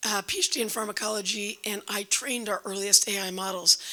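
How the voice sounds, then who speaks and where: Noticeable background noise behind a woman speaking at a fairly high pitch. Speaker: tech startup founder. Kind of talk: self-introduction at conference.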